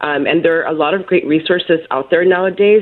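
This woman has a plain, everyday voice. It sits fairly low and varies in pitch in an ordinary way. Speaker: family therapist. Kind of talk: interview.

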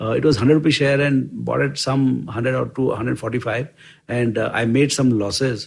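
A man speaks at a moderate pace and medium pitch. His voice is somewhat breathy, with fairly even intonation. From rural India. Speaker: investment firm co-founder. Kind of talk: interview storytelling. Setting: office. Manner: halting.

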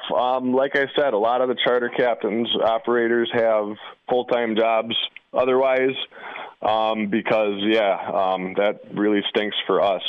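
A man's medium-pitched voice with a Wisconsin accent, fairly slow and fairly even in intonation. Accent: Upper Midwest (Wisconsin). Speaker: fishing charter captain. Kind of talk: interview. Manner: casual, with filler words.

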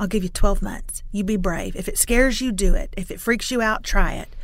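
A woman with an East Texas accent, fairly high pitch and moderate pace, in audible room echo. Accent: East Texas Southern. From East Texas (Lufkin). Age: 40s. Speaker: author and video creator. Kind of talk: interview. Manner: animated.

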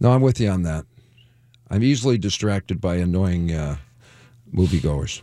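With an American accent, a man speaks at a moderate pace in a very deep, low pitch and a dark, mellow tone. His intonation is lively, broken by long, frequent pauses. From Detroit, US Midwest. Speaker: radio DJ and comedian. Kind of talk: casual chat.

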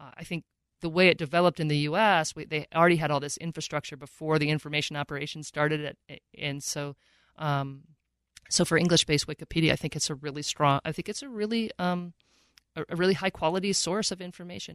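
Against a quiet background, a woman with a very deep, low pitch speaks very fast, with big swings in loudness, ordinary pitch variation and a dry, close sound with no echo. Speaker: professor. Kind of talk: interview.

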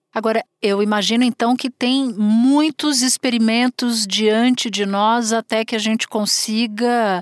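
A woman speaks at a very slow pace with fairly high pitch and fairly even intonation. The sound is dry and close, with no echo. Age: 40s. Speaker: podcast host, journalist. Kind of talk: interview.

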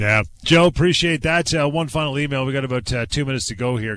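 A man with a Canadian accent and an unremarkable speaking voice talks at a fairly quick pace with ordinary pitch variation. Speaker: radio host. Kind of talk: radio talk show. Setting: studio.

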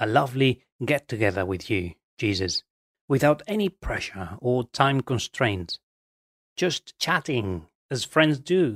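This man talks at a fairly slow pace with very wide pitch swings, recorded dry and close with no echo. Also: medium pitch for a man, very clean recording, silent background. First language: Spanish. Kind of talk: guided meditation.

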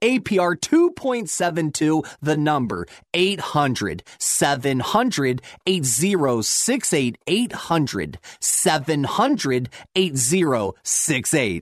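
Keeping his loudness very even, a man speaks at a fairly high pitch that makes very wide swings. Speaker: mortgage expert. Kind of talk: infomercial pitchman. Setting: radio studio. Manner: hyped-up, fast, pushy salesman patter, repeating the phone number; excitable.

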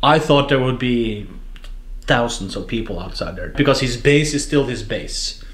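A man's speech carries audible echo from the room along with noticeable background noise. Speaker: foreign correspondent. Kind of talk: panel discussion. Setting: press club.

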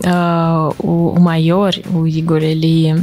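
A woman's fairly low voice with a Russian accent, over noticeable background noise. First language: Russian (speaking Portuguese). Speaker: YouTuber. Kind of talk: casual interview chat.

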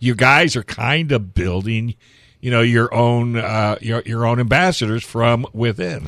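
In a normal speaking voice, a man talks at a fairly slow pace and medium pitch with ordinary pitch variation against a quiet background. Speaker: radio host. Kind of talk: casual radio interview. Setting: radio studio.

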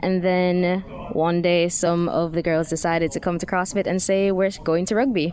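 There's noticeable background noise. Over it, a woman talks at a medium pitch. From Jamaica. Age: 20s. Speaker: amateur rugby player. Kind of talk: radio interview. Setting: studio.

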